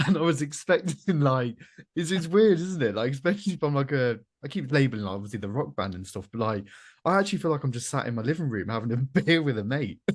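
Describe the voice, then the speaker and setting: With a British accent, a man talks at a very fast pace with very wide pitch swings against a quiet background. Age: 30s. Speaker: podcast host. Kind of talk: casual chat.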